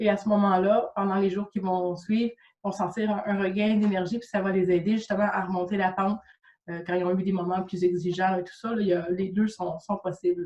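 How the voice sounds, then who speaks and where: A woman speaks with a Quebec accent. Her intonation is flat and monotone. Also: medium pitch for a woman, fairly quick pace. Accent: Québécois French. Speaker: Reiki practitioner and coach. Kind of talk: interview. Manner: hesitant, many fillers.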